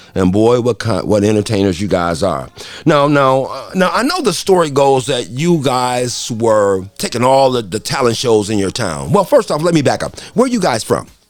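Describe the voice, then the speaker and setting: Music plays behind a man with an American accent and a medium pitch. He talks at a moderate pace with very wide pitch swings and hardly any pauses. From Detroit, US Midwest. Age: 60s. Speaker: radio host. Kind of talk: interview. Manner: animated.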